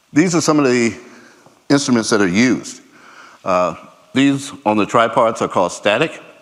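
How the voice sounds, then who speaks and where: A man speaks with lively intonation and very even loudness, pausing long and often. Room echo is audible. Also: medium pitch for a man. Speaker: conference speaker, laser scanning specialist. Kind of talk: conference presentation. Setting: stage with audience. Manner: fast.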